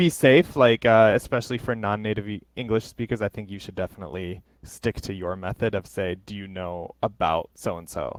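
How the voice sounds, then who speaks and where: Using an unremarkable speaking voice with an American accent, a man speaks at a fairly low pitch and fairly quick pace with hardly any pauses and big swings in loudness, in a very clean recording with a silent background and a dry, close sound with no echo. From United States. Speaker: English teacher. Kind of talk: casual chat.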